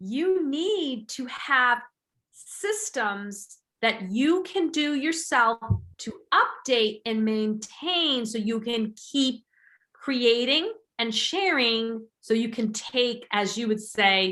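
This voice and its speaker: A woman with a bright, sharp tone and a high pitch talks at a very slow pace, her intonation lively. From England. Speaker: podcast host. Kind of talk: casual interview chat.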